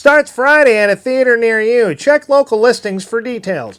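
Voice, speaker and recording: Putting on a character voice at an extremely high pitch, a man talks at a moderate pace with a dry, close sound with no echo. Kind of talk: announcer dub voice. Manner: goofy, over-the-top.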